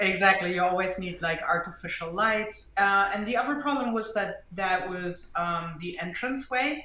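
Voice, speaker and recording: A woman's medium-pitched voice with a German accent, ordinary pitch variation, a moderate pace and hardly any pauses, plus audible room echo. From Germany. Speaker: mixed media artist and art teacher. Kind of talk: interview.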